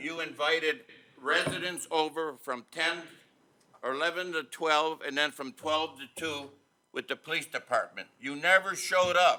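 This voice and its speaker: A loud man with a fairly high voice, a bright, sharp tone and a moderate pace. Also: fairly even intonation. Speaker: village trustee. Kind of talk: heated debate.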